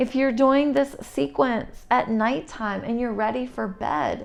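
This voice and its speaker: Music plays in the background. The speaker is soft-spoken and goes at a very slow pace. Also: woman. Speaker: yoga instructor. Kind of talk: guided yoga instruction.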